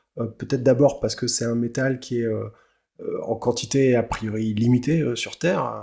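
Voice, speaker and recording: The voice has a dark, mellow tone and fairly even intonation. The recording is very clean, with a silent background. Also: man, medium pitch for a man, moderate pace. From France. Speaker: podcast host. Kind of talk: interview. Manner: hesitant, many fillers.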